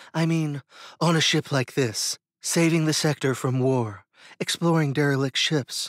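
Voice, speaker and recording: A man performs in a put-on character voice. The recording is very clean with a silent background. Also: fairly high pitch for a man, moderate pace. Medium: read story.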